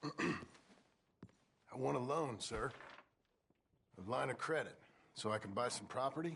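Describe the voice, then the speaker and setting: A man's raspy put-on character voice, medium in pitch, fairly slow, with long, frequent pauses. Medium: video game. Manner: halting, humble drawl.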